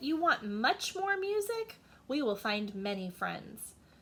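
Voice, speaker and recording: This put-on character voice moves at a fairly slow pace, its pitch swinging very widely. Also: woman, high pitch for a woman. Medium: read story. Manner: eager, oblivious.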